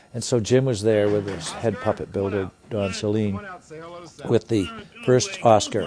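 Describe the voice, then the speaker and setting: A man talks at a moderate pace with ordinary pitch variation and a fairly low pitch. Noticeable background noise runs behind him. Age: 70s. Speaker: puppeteer. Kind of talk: interview. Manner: halting.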